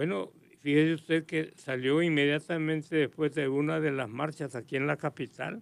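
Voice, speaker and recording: Recorded very cleanly against a silent background, this is an ordinary speaking voice with ordinary pitch variation at a moderate pace. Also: man, fairly high pitch for a man. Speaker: political commentator. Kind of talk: radio interview.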